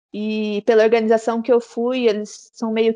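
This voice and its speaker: At a fairly slow pace, an ordinary speaking voice comes through against a quiet background. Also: woman. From interior of São Paulo state, Brazil (Araras). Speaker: travel influencer. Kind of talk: interview.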